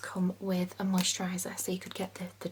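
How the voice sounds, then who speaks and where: Over noticeable background noise, a woman speaks fairly slowly in a calm tone. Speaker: ASMR content creator. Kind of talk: perfume shop sales role play. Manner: soft-spoken, friendly, calm.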